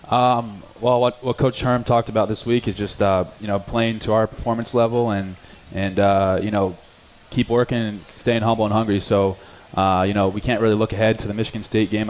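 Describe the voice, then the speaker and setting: A man talks in a fairly low, monotone voice with flat intonation. Noticeable background noise sits behind him. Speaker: college punter. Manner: humble, grateful, faith-minded.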